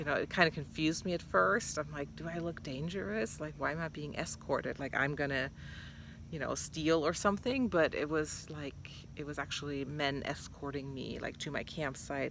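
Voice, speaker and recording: A woman with a non-native accent speaks at a very deep, low pitch with vocal fry. Her pace is moderate. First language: not English. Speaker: vlogger. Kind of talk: casual vlog monologue. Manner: hesitant, many fillers.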